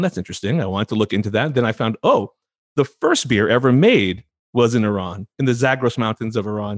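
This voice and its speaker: Very fast speech comes from a man with a Californian accent and a medium pitch with ordinary pitch variation. The sound is dry and close with no echo, over a quiet background. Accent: Californian American. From California, San Francisco Bay Area. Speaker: physician and podcast host. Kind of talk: interview.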